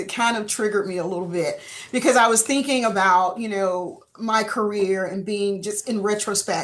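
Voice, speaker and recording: A woman with a Southern US accent talks at a moderate pace. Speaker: insurance industry panelist. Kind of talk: panel discussion. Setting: webinar.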